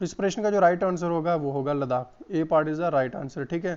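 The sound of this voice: A man's fairly high voice has a clear, smooth and slightly mellow tone, moving at a moderate pace with ordinary pitch variation.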